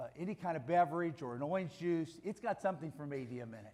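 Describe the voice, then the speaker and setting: A man with an American accent speaks in an ordinary speaking voice at a fairly high pitch. His intonation is lively and his pace fairly quick. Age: 60s. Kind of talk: testimony.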